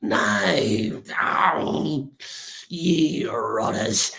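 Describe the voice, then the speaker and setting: A man's raspy, put-on character voice at a medium pitch. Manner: exasperated, insulting the attackers.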